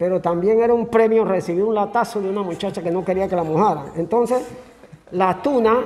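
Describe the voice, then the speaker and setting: Speech moves at a fairly quick pace with ordinary pitch variation. Noticeable background noise sits behind it. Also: man, high pitch for a man. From Panama, Antón (Coclé). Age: 70s. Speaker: local historian. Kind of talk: interview. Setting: cultural center museum. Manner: casual storytelling.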